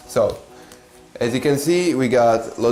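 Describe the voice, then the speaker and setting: Music plays behind a man with an Italian accent whose medium pitch shows ordinary variation, with audible room echo. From Italy. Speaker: language teacher. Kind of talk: tutorial. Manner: hesitant, many fillers.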